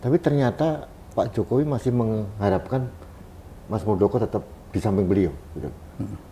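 A man speaks at a moderate pace with lively intonation and a fairly low pitch. His tone is dark, mellow and somewhat breathy, over light background noise. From Indonesia, East Java (Blitar); East Java, Indonesia. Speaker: online talk show host. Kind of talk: interview. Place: office.

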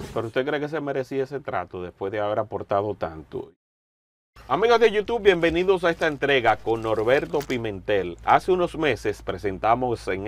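At a moderate pace, a man speaks with very wide pitch swings in a dry sound with no echo. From Dominican Republic. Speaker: journalist interviewer. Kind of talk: interview.

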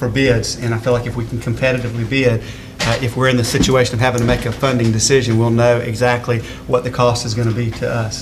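Very fast, monotone, flat male speech over noticeable background noise. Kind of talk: meeting report. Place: meeting room. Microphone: podium.

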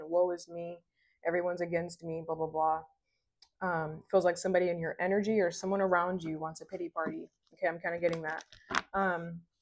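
Very fast and flat in intonation, a woman's fairly low-pitched voice comes through with noticeable background noise. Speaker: tarot reader. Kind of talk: tarot reading to viewers. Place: home room. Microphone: lapel.

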